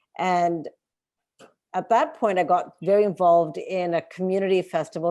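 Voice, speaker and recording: A woman with a Canadian accent speaks at a moderate pace and a fairly low pitch. Her intonation is fairly even, and the background is quiet. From Montreal, Canada. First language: Hindi. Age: 40s. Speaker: former bookstore worker and activist. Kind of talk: oral history interview.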